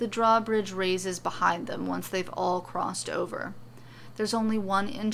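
This is plain reading aloud. Nothing else stands out beyond plain reading aloud.

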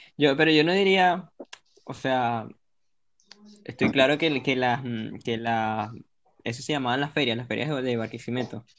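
A man speaks at a fairly slow pace with long, frequent pauses. His pitch is medium, with ordinary variation. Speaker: podcast co-host. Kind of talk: casual chat.

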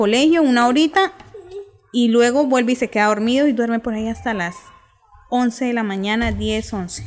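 The woman's voice is high. She talks at a moderate tempo, with ordinary shifts in pitch. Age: 30s. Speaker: mother of two. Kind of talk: casual chat.

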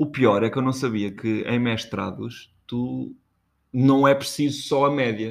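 With an ordinary speaking voice, a man talks at a fairly slow pace and medium pitch, using ordinary pitch variation, on a very clean recording with a silent background. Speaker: podcast co-host. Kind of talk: casual chat. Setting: kitchen.

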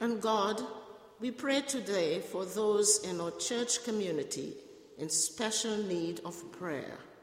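Over noticeable background noise, a woman talks very slowly in a fairly high pitch with lively intonation. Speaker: prayer leader. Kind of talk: prayers of intercession. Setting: church.

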